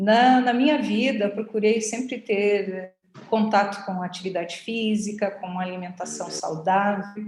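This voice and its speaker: A woman with an unremarkable speaking voice talks at a fairly slow pace, her pitch sitting in the middle range. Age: 60s. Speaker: cancer patient, physical education teacher. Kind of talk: personal testimony.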